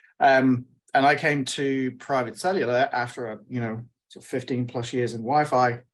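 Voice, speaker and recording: Big swings in loudness mark this man's speech. His pitch is medium, his intonation fairly even, and his pace moderate. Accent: British. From UK. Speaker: wireless network engineer. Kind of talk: panel webinar.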